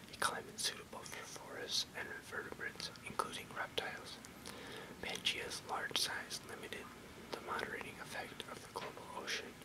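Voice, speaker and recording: Soft-spoken whispering over loud background noise. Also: man, moderate pace. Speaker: reader. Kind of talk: reading an encyclopedic text aloud. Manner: soft close whisper, slow reading. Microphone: webcam.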